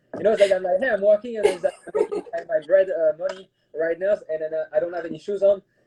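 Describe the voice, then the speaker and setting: A man with a French accent speaks at a very fast pace, his high pitch showing ordinary variation. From France. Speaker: private chef. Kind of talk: casual interview chat. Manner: halting, many fillers.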